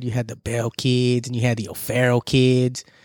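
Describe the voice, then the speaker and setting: Animated in tone, a man speaks with a dry, close sound and no echo. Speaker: podcast host. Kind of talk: casual chat. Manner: casual, profane, animated.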